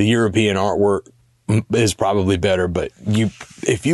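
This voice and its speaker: The pace is moderate. Noticeable background noise sits under the voice. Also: man. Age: 40s. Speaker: podcast segment host. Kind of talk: casual chat.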